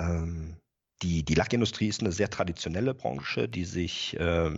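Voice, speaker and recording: Here a man speaks at a moderate pace in a very deep, low voice with vocal fry. His intonation is lively. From Rhineland, Germany. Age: 40s. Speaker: company IT and controlling manager. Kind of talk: interview. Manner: frequent filler sounds.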